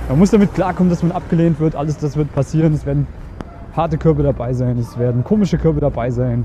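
A man's fairly high-pitched voice with ordinary pitch variation, amid noticeable background noise. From Germany. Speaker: dating coach and podcaster. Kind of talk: casual vlog-style coaching monologue. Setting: outdoors on the street.

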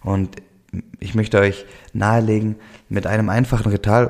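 A man with a fairly low pitch speaks at a moderate pace. His tone is dark and mellow, and somewhat breathy. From Swabia, southwestern Germany. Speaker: podcast host, life coach. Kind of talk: solo podcast monologue. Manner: many fillers and hesitations.

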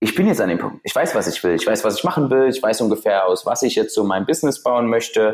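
A man with a plain, everyday voice speaks at a medium pitch. His intonation is lively. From Saxony, Germany (Freiberg). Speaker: business founder coach. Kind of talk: podcast interview.

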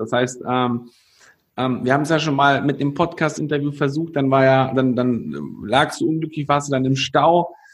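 A man with an ordinary speaking voice talks at a moderate pace and fairly high pitch, his intonation fairly even. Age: 20s. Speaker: podcast host. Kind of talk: interview. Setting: video call.

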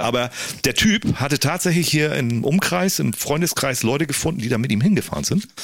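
Noticeable background noise runs under the speech. A man talks with lively intonation. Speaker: DJ. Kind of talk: casual chat.

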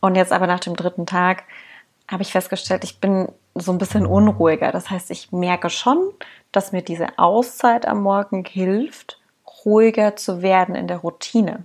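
Delivered at a moderate pace, the intonation stays fairly even throughout. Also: woman, medium pitch for a woman. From Saxony, near Dresden. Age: 30s. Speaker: podcast co-host. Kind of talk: casual chat.

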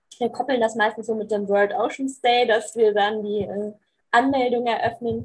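Her voice comes across somewhat breathy. The woman keeps a fairly slow pace. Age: 20s. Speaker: youth volunteer organizer. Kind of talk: casual chat.

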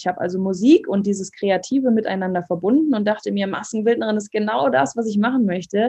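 Somewhat breathy and dark, mellow in tone, a woman's medium-pitched voice moves at a fairly quick pace with ordinary pitch variation. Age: 20s. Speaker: holistic coach and fitness trainer. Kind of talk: podcast interview.

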